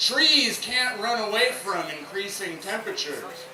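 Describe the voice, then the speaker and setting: Noticeable background noise surrounds a man with an American accent. His pitch is high and his pace fairly slow. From Memphis, Tennessee. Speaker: environmental conservation coordinator. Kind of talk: rally speech. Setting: outdoors. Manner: low-key.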